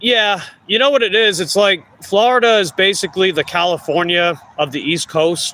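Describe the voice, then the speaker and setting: This man has a high-pitched voice with ordinary pitch variation and a strong Long Island accent. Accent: thick Long Island New York. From Long Island, New York. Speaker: food delivery bike courier streamer. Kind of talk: casual live stream chat.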